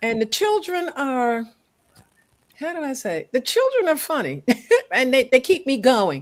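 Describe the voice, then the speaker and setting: A woman with an American accent speaks at a high pitch, with very wide pitch swings and big swings in loudness. She leaves long, frequent pauses. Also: fairly slow pace. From Baltimore, Maryland. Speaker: retired teacher, tutor. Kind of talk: casual interview chat. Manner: halting.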